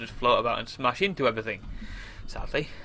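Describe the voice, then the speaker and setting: A man talks very fast, his pitch rising and falling in an ordinary way, with light noise in the background. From England. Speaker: gamer. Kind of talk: gameplay commentary. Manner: casual, rambling with fillers. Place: home room.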